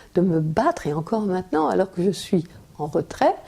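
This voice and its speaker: A woman at a medium pitch and fairly slow pace, with noticeable background noise. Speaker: writer and former teacher. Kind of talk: interview answer.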